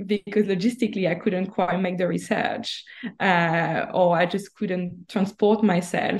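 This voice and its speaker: A woman is speaking with a French accent. Her voice is somewhat breathy. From France. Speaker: author. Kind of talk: podcast interview. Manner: halting, hesitant.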